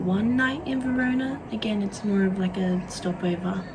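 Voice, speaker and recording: Speech in an Australian accent comes at a very slow pace, with audible room echo and noticeable background noise. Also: woman. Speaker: vlogger. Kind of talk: casual chat.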